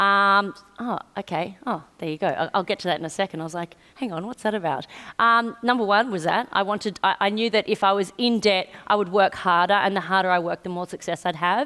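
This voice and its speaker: This woman has an Australian accent and a bright, sharp tone. She talks at a fairly quick pace with medium pitch and ordinary pitch variation. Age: 40s. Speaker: PR entrepreneur. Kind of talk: on-stage interview. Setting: stage with audience.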